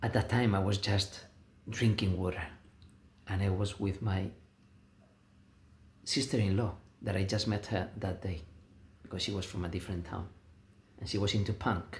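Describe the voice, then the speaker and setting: At a moderate pace, a man with a fairly low pitch and a somewhat breathy voice talks in a monotone, flat way, leaving long, frequent pauses. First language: Spanish. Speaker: vlogger. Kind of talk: casual monologue. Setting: self-filmed video, no music. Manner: halting.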